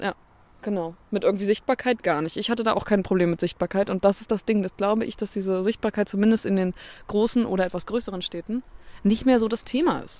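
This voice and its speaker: A woman talks at a very fast pace in a medium pitch. Her intonation is fairly even. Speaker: podcast co-host. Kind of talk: casual chat. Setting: outdoors on a bench.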